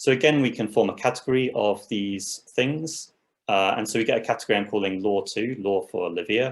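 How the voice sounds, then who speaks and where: The man's pitch is medium, with ordinary variation, and his pace is fairly quick. The recording is very clean, the background silent. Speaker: academic conference speaker. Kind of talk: lecture. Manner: fast.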